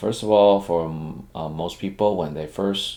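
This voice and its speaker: A dark, mellow tone with a non-native accent, in audible room echo. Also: man. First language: not English. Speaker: programming teacher, software engineer. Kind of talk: lecture. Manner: halting, many fillers.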